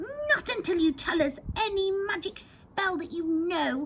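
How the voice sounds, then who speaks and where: Against clear background noise, a woman puts on a character voice at an extremely high pitch. She speaks at a fairly slow pace. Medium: read story. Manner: rude, bossy.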